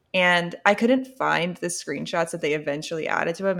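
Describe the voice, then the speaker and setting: A woman speaks at a moderate pace with a fairly low pitch and vocal fry. The recording is very clean, with a silent background. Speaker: podcast co-host. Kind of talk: casual chat.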